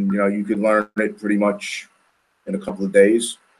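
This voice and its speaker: At a fairly quick pace, a man with a New York accent talks in a medium pitch with fairly even intonation. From New York City, Queens. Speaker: powerlifting coach and brother of athlete. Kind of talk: podcast interview.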